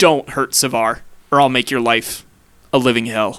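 Put-on character voice from a man, moderately paced. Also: medium pitch for a man. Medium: actual play. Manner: stern, threatening.

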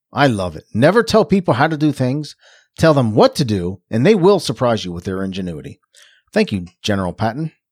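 Someone with a Philadelphia accent talks at a fairly quick pace with very wide pitch swings and big swings in loudness, in a dry, close sound with no echo on a very clean recording with a silent background. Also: man, medium pitch for a man. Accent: sounds like from Philadelphia. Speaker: podcast co-host. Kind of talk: casual chat.

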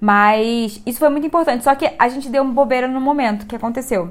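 The woman's voice sits at a high pitch. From Rio de Janeiro, Brazil. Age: 20s. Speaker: photographer and writer. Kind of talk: casual chat.

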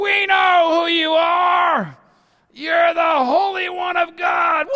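Shouting in a put-on character voice, the speaker goes at a very slow pace with an extremely high pitch that turns shrill. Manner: shrieking.

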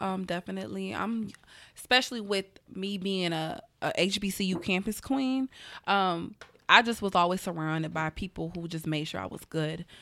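In a Southern US accent, a woman with a bright, sharp tone speaks at a medium pitch and a moderate pace with ordinary pitch variation, on a very clean recording with a silent background. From US South, Atlanta, Georgia. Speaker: publicist. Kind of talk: casual chat.

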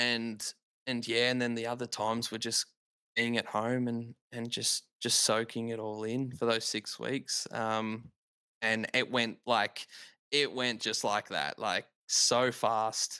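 A man with an Australian accent talks at a very slow pace in a medium pitch, his bright, sharp tone held to a monotone, flat intonation. The very clean recording has a silent background and a dry, close sound with no echo. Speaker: dad and podcast listener. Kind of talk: casual interview.

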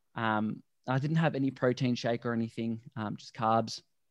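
Over a quiet background, a man with an Australian accent speaks with fairly even intonation in a dry, close sound with no echo. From Australia (Melbourne). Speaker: plant-based endurance athlete. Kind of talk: casual chat. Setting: video call.

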